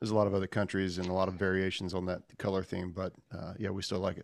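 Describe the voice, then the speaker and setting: A man talks at a very fast pace in a fairly low voice. The recording is very clean, with a silent background. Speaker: online community founder. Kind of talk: casual chat.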